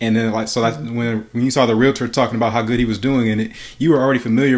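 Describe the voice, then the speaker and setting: A man holds a medium pitch with monotone, flat intonation. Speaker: podcast co-host. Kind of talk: podcast interview question.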